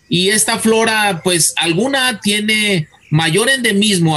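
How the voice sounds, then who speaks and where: Raised, projected voice from a man, lively intonation, noticeable background noise. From Mexico, Guadalajara (Jalisco). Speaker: botany professor and researcher. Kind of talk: radio interview. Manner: halting, repeats words.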